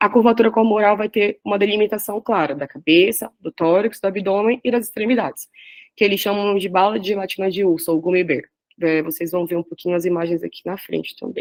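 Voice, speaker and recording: Recorded with a dry, close sound and no echo, a woman speaks at a medium pitch and fairly quick pace with ordinary pitch variation. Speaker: radiology resident presenting a class. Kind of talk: lecture. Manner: fast.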